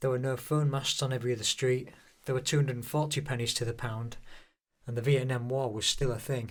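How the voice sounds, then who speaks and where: A man with a Hull accent speaks in a somewhat breathy voice with monotone, flat intonation. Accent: Hull, East Yorkshire English. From northern England, Hull. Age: 50s. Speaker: YouTuber. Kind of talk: personal narration. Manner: downbeat.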